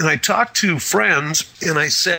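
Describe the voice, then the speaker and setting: This man has an American accent and a fairly high pitch. Noticeable background noise runs behind him. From Wisconsin, US Midwest. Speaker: media and marketing consultant. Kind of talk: interview.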